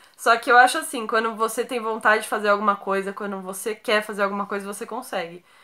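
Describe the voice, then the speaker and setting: Against a quiet background, a woman with a bright, sharp tone talks at a very fast pace with fairly even intonation. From Brazil, São Paulo (Santo André, ABC); São Paulo, Brazil. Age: 20s. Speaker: YouTuber. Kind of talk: casual Q&A vlog. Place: home room.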